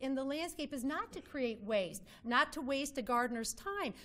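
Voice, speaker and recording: A woman with lively intonation. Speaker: landscape designer. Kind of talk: presentation. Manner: fast.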